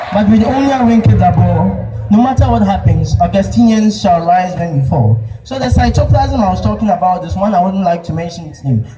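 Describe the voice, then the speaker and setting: Against noticeable background noise, a man with a fairly high voice speaks at a fairly quick pace with very wide pitch swings. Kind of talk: spoken word poetry performance at a school speech day. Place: stage.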